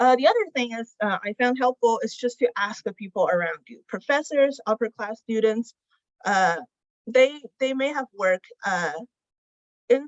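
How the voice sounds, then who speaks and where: At a moderate pace, a woman speaks in a fairly high pitch with lively intonation. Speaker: student research intern. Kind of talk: panel presentation. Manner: halting, many filler sounds.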